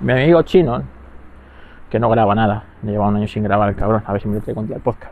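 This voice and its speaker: A man talks very fast at a fairly low pitch. His intonation is lively. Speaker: podcast host. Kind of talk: casual monologue. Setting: outdoors walking the dog. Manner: halting, many fillers.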